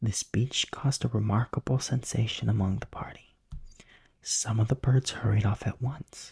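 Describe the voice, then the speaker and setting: The speaker is whispering and soft-spoken. The pace is moderate. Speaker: bedtime story narrator. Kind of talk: sleep story, audiobook-style reading. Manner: soft-spoken, whispery.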